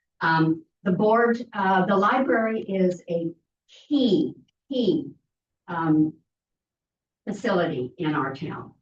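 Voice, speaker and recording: A woman with an American accent speaks at a very slow pace with long, frequent pauses, her medium-pitched, somewhat breathy voice swinging very widely in pitch. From Southern California. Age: 80s+. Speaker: library volunteer, former council member. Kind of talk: public comment at council meeting. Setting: city council meeting.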